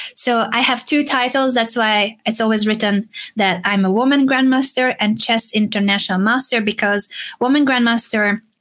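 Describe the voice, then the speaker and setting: A woman's fairly high-pitched voice in a Hungarian accent, at a moderate pace with fairly even intonation. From Hungary. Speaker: chess player and streamer. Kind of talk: casual interview chat.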